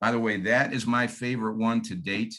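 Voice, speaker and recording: The speaker talks at a moderate pace in a Michigan accent. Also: man. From Michigan, US Midwest. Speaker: real estate agent. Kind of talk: training presentation.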